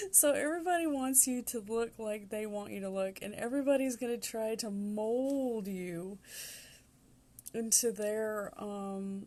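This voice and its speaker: A woman speaks fairly slowly with a Southern US accent. Her fairly high voice has a dark, mellow tone. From US Southwest, New Mexico. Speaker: tarot reader. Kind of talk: tarot reading monologue. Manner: casual, many filler ums.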